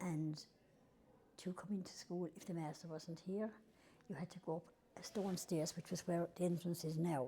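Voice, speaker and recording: Speaking at a fairly quick pace yet with long, frequent pauses, a woman has a fairly low, somewhat breathy voice with a dark, mellow tone. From Ireland, County Tipperary. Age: 80s+. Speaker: oral history interviewee. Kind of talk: oral history interview, reminiscing. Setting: old schoolhouse. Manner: conversational, with hesitations and self-corrections.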